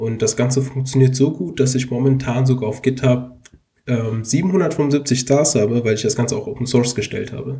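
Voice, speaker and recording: A plain, everyday voice moves along at a moderate pace. Its pitch varies in an ordinary way. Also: man, medium pitch for a man. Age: 20s. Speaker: computer science student and app developer. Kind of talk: casual tech podcast chat.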